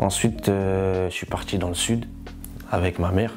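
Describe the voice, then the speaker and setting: Music plays in the background as a man speaks at a moderate pace with a very deep, low pitch and ordinary pitch variation. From France, Paris region (Yvelines) and south. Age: 20s. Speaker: rapper. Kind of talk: interview. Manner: casual, repetitive street slang.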